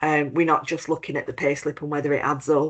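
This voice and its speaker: Very deep, low-pitched woman's voice with a British accent and monotone, flat intonation. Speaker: compliance expert, head of operations at accreditation body. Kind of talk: webinar presentation.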